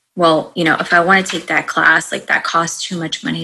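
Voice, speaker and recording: Talking at a fairly quick pace, a woman keeps her intonation fairly even. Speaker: life coach. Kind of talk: casual interview chat.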